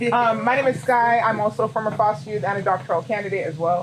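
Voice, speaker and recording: Noticeable background noise and audible room echo fill the recording. A man talks loudly at a very fast pace. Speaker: audience member, former foster youth. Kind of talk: audience question. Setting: town hall with audience. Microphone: speaking without microphone.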